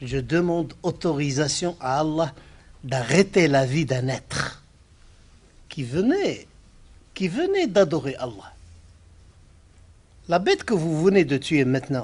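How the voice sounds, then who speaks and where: A man with a Moroccan accent and a fairly high pitch, at a very slow pace, with long, frequent pauses and lively intonation. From Morocco. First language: Arabic (speaking French). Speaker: Islamic scholar, speaker. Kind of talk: lecture.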